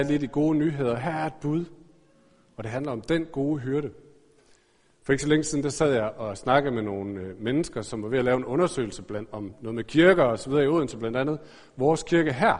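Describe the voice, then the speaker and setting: This man talks at a very fast pace in a fairly high pitch, his intonation lively. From Denmark, Aarhus. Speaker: pastor. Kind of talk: sermon. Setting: church.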